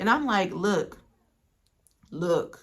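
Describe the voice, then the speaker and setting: This woman speaks at medium pitch. Her voice is somewhat breathy. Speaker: spiritual storyteller and content creator. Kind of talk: casual monologue. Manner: rambling, filler-heavy.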